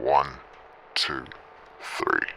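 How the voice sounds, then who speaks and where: A man puts on a character voice against clear background noise. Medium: audio drama.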